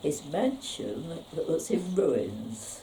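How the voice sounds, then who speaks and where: Audible room echo surrounds a woman speaking with a London accent and very wide pitch swings. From London area, England. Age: 80s+. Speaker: local elder sharing memories. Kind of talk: reminiscence interview. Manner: halting, with many pauses.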